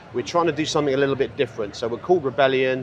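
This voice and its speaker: Against noticeable background noise, a man with a British accent talks at a medium pitch. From UK. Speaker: cigar brand founder. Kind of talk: interview. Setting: trade show floor.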